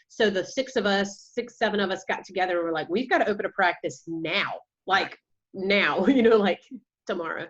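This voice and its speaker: With a strong Georgia accent, a woman talks at a fairly quick pace, her medium pitch showing ordinary variation. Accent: Georgia Southern accent, strong. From US South, Georgia. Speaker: counselor and practice owner. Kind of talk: interview.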